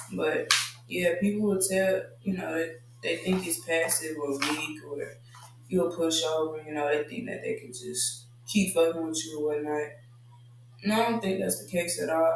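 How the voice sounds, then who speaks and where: A soft-spoken man with a fairly high pitch and lively intonation is heard amid noticeable background noise and audible room echo. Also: moderate pace. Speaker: podcast host. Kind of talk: casual monologue.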